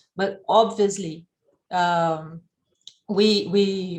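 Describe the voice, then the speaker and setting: Speaking with a non-native accent, a woman uses a medium pitch and ordinary pitch variation. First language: not English. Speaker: event participant. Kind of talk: Q&A discussion. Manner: halting.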